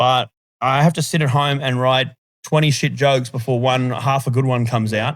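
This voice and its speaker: This man speaks at a medium pitch with an Australian accent. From Australia, Sydney (Hornsby). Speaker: stand-up comedian. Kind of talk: podcast interview. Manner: fast talker; animated.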